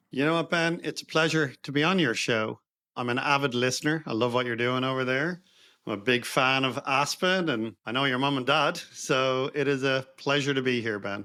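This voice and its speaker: A man with an Irish accent, medium in pitch, with a bright, sharp tone, ordinary pitch variation and a moderate pace. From Ireland, Dublin. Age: 50s. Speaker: investor and entrepreneur. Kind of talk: podcast interview.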